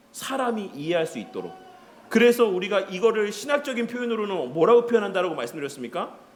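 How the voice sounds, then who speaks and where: A man speaks at a high pitch amid noticeable background noise and audible room echo. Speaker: pastor. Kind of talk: lecture. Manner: conversational teaching with questions.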